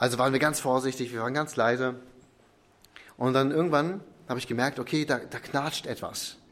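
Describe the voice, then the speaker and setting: A man's medium-pitched voice at a fairly quick pace, with fairly even intonation and long, frequent pauses. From Ostwestfalen, Germany. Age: 20s. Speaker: pastor. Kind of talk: sermon.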